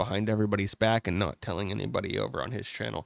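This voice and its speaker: A man talking at a very fast pace with vocal fry. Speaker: game streamer. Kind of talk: casual live stream chat.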